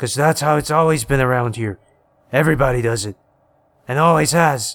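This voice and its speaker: In a growling, put-on character voice, a man talks at a medium pitch and a fairly quick pace with ordinary pitch variation. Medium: read story.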